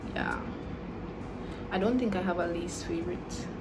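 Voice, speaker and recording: Over noticeable background noise and audible room echo, a woman speaks in a relaxed tone at a medium pitch with ordinary pitch variation. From Jamaica and Dominica. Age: 20s. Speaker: YouTuber, natural hair vlogger. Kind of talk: casual Q&A vlog. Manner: relaxed, conversational.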